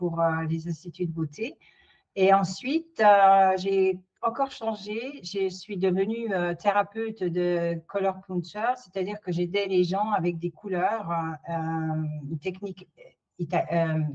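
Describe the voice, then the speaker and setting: Very slowly, a woman talks at a medium pitch with ordinary pitch variation. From France. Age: 60s. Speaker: career changer, interviewee. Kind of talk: testimony. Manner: halting, many hesitations.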